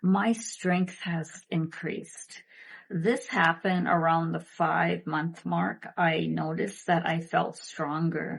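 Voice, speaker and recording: Speaking very slowly, a woman with a fairly low pitch keeps her intonation fairly even and shows vocal fry. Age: 50s. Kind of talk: product testimonial talk to camera.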